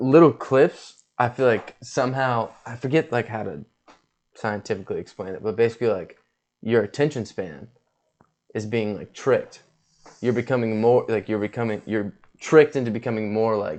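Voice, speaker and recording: Loudness swings widely in this man's medium-pitched voice. His pitch variation is ordinary. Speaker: podcast co-host. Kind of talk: casual chat. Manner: fast; animated.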